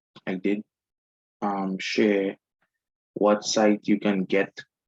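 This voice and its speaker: A man speaks very slowly in a Trinidadian accent at a fairly low pitch. The sound is dry and close, with no echo. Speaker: forex trader. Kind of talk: screen-share tutorial. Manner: casual, many fillers.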